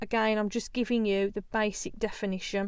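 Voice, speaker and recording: A woman with an English accent, fairly high in pitch, at a moderate pace. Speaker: yoga teacher and podcast host. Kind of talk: solo podcast monologue. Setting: home recording in a small larder.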